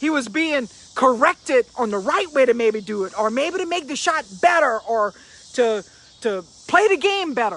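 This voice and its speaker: A man talks at a moderate pace in an extremely high pitch with very wide pitch swings, over noticeable background noise. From Louisiana. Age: 50s. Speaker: motivational speaker. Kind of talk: motivational live stream talk.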